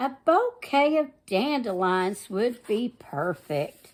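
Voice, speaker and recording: A woman's put-on character voice, high-pitched and at a very slow pace. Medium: read story.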